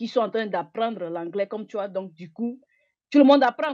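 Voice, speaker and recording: With lively intonation, a woman talks at a very fast pace in a medium pitch. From Togo. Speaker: interviewer. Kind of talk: interview. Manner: halting, mixing English words.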